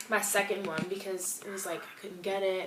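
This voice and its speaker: A woman with a medium-pitched voice talks at a fairly quick pace. Noticeable background noise and audible room echo are present. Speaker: natural hair vlogger. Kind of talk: casual tutorial vlog. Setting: home bathroom, filming self.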